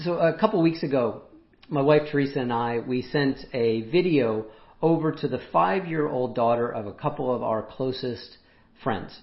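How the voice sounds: With audible room echo, a man speaks in a raspy voice at medium pitch and a moderate pace, with ordinary pitch variation and few pauses.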